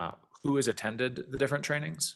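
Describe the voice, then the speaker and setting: A man talks at a medium pitch with a bright, sharp tone. The background is quiet. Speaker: prosecutor. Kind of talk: courtroom examination. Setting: courtroom. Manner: fast.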